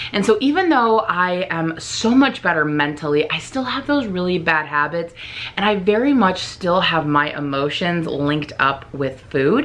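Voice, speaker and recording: The voice shows very wide pitch swings over noticeable background noise. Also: woman, fairly low pitch for a woman. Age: adult. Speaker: vlogger. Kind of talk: vlog. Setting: filming herself on camera. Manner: fast.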